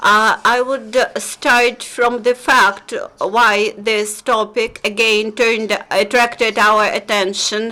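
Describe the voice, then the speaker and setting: There is noticeable background noise as a woman with a Belarusian accent speaks very slowly at a fairly high pitch, her intonation monotone and flat and her loudness very even. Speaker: human rights researcher. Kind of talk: press conference presentation. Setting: press conference. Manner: halting, many fillers.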